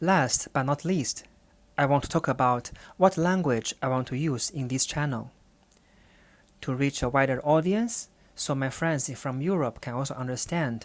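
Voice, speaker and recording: A woman with a Chinese accent speaks at a very deep, low pitch with ordinary pitch variation and a moderate pace, taking long, frequent pauses. The recording is very clean, with a silent background. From China. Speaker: podcast host, urban planner and researcher. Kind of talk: solo podcast monologue. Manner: slightly halting, non-fluent.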